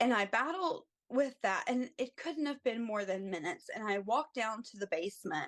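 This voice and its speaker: An ordinary speaking voice, a woman's, fairly high and lively in intonation, with an American accent at a moderate pace. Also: big swings in loudness. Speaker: travel ICU nurse. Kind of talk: podcast interview answer.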